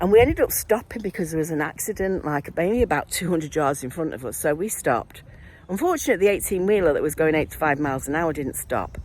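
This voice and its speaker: Very fast and animated, a woman with a Mancunian accent speaks in a fairly low pitch with lively intonation. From Manchester, northern England. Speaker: vlogger, former nurse and midwife. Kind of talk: casual video diary monologue.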